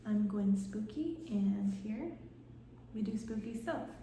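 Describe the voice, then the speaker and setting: A soft-spoken woman whispering at a very slow pace, with audible room echo and noticeable background noise. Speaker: lifestyle vlogger. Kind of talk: casual vlog narration. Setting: at home. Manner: soft-spoken, partly whispering.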